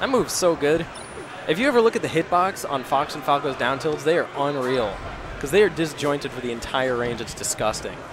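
A man's fairly high voice, fairly quick and lively in intonation, over noticeable background noise. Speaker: esports commentator. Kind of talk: live commentary. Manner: animated; conversational, hedging.

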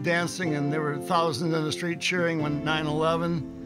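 Clear music plays in the background. A man talks over it with an American accent. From Ohio, USA. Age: 70s. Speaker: retired teacher and Army Reserve commander. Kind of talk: political ad, voter testimonial to camera. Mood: calm, critical of candidate. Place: home room.

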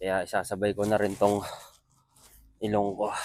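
Fairly low in pitch, a man speaks at a fairly slow pace with monotone, flat intonation. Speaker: vlogger, overseas worker. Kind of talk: daily vlog narration. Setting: walking outdoors and on a bus.

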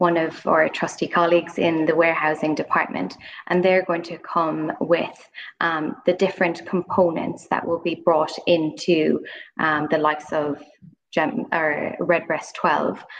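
In an ordinary speaking voice, a woman with a fairly low pitch speaks at a fairly slow pace with fairly even intonation over light background noise. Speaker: guest. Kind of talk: interview answer. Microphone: video call.

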